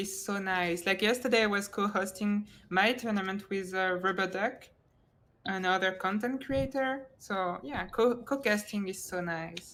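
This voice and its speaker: In a French accent, a woman with a medium pitch speaks at a fairly slow pace with ordinary pitch variation. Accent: French accent, lighter than before. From France. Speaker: esports tournament co-caster. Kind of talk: live-stream casting chat. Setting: live stream. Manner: halting, many restarts.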